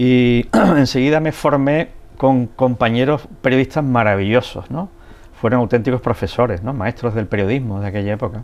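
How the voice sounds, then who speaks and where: The pitch varies in an ordinary way, and the pace is moderate. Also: man, medium pitch for a man. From Andalusia, Spain (El Puerto de Santa María, Cádiz). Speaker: photojournalist. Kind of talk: interview. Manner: hesitant, many fillers.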